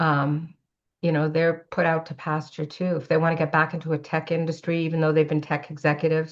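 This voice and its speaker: This woman's voice has a very deep, low pitch and a Canadian accent. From Canada. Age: 60s. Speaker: age-equity advocate and entrepreneur. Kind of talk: podcast interview. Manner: conversational, with fillers.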